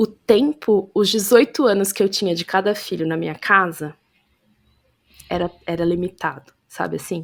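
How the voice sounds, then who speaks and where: A woman at a medium pitch, fairly slow, with long, frequent pauses. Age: 30s. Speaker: podcast guest, mother and author. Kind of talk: casual interview conversation, testimony. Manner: animated, hesitant with self-corrections.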